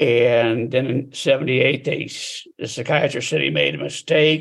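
A man's voice with vocal fry and fairly even intonation. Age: 70s. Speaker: author and peer support group facilitator. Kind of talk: interview conversation about personal experience.

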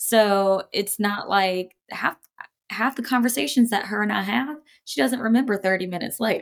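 With an American accent and an ordinary speaking voice, a woman of medium pitch talks at a moderate pace with ordinary pitch variation. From North Carolina coast. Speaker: powerlifter and coach. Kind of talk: casual interview chat.

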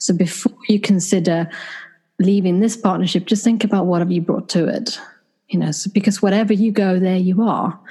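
Somewhat breathy and dark, mellow in tone, a woman with a Swedish accent speaks at medium pitch and a fairly quick pace. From Sweden. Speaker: clinical psychologist and couples therapist. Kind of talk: interview.

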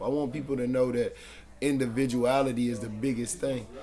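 Over audible room echo, a man with an American accent speaks at a fairly quick pace in a monotone, flat intonation. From Charlotte, North Carolina. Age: 20s. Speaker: rapper. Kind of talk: interview.

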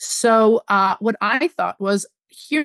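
A woman has an unremarkable speaking voice at a fairly high pitch. The sound is dry and close with no echo, over a quiet background. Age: 40s. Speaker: media executive. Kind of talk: interview.

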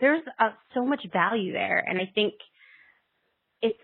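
Speaking at a moderate pace in a normal speaking voice, the woman keeps ordinary pitch variation. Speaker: parent formerly working in fashion. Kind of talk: casual chat.

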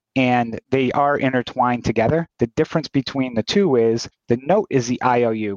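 A man with a normal speaking voice talks at a moderate pace and medium pitch, with hardly any pauses, very even loudness, ordinary pitch variation, and a dry, close sound with no echo. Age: 40s. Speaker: note investor. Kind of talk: interview.

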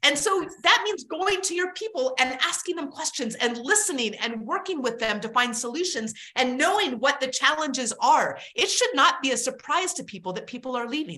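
A woman speaks in a raised, projected voice at a high pitch, with very wide pitch swings and a moderate pace. She leaves hardly any pauses, and there is noticeable background noise. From Alaska. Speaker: keynote speaker, author and former army helicopter pilot. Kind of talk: casual interview.

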